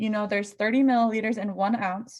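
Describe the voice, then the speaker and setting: A woman's somewhat breathy, fairly high-pitched voice. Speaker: nursing student tutor. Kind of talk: tutorial.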